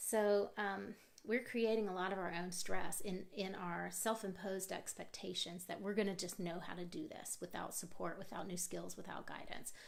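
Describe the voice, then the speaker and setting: Amid noticeable background noise and audible room echo, a woman talks at a medium pitch. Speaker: parenting coach. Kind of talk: live workshop. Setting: live video stream with comments. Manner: fast.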